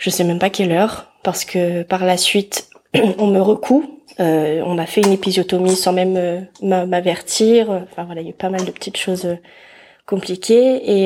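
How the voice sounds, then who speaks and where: A woman's medium-pitched, dark, mellow voice at a fairly slow pace, with fairly even intonation. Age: 20s. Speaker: mother telling her birth story. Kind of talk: personal testimony interview.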